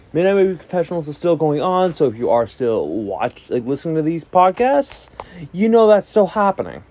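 Very wide pitch swings shape a man's speech. His fairly quick delivery has a dark, mellow tone. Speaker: music podcast host. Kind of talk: solo podcast album review. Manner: fast.

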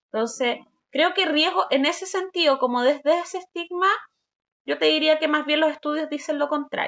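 A high-pitched woman's voice in a Chilean accent, at a moderate pace with ordinary pitch variation. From southern Chile, Valdivia. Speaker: sexologist. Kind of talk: interview, explaining.

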